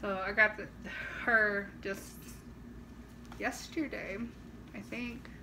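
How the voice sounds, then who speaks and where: Amid audible room echo and noticeable background noise, a woman speaks very slowly at a medium pitch, with ordinary pitch variation and long, frequent pauses. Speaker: doll collector vlogger. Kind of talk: casual vlog. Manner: casual with fillers.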